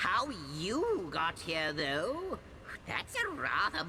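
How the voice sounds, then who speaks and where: A female-sounding put-on character voice, theatrical in tone, at a fairly slow pace over loud background noise. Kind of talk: fantasy game voice acting. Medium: video game. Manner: excitable, repetitive, theatrical.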